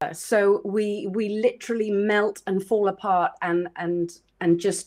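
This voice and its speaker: A woman with a British accent speaks at a fairly slow pace, her intonation fairly even. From South Wales. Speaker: photographer and former actress. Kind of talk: interview.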